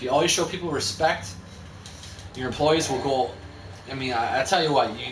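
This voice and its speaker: Mumbling at a fairly quick pace with lively intonation and long, frequent pauses, the voice comes through audible room echo and noticeable background noise. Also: man, medium pitch for a man. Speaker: video game streamer. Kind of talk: gameplay live stream commentary. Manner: stuttering; fast, mumbling.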